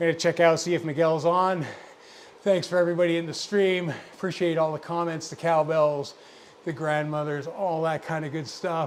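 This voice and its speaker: Here a man talks at a moderate pace with a fairly high pitch. His intonation is monotone and flat. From Scotland, then Birmingham. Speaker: cycling streamer. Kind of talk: casual live-stream chat. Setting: live stream, headphones on. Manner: rambling, chatty.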